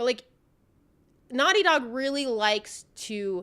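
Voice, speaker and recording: The speaker is a woman with a high voice. She talks at a medium rate. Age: 30s. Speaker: game show reviewer streamer. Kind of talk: live stream review, casual chat. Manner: casual, filler-heavy.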